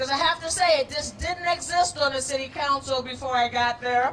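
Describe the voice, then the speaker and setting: Over noticeable background noise, a woman with a high pitch uses a raised, projected voice with ordinary pitch variation. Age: 60s. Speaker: city councilor. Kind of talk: public speech at a rally.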